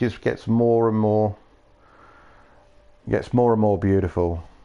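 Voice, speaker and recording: A man speaks with a Yorkshire accent. His tone is dark and mellow. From Yorkshire, northern England. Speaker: gaming streamer. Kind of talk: casual chat. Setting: live stream.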